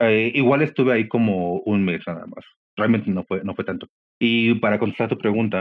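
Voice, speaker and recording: At a fairly quick pace, a man with a Mexican accent speaks at medium pitch with ordinary pitch variation. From Mexico. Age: 40s. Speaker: podcast guest. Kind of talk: interview conversation. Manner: halting, many fillers.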